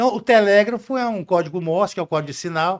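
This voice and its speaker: On a very clean recording with a silent background, a man speaks at a high pitch. His intonation is lively. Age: 60s. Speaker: podcast guest, leadership speaker. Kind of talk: casual interview chat.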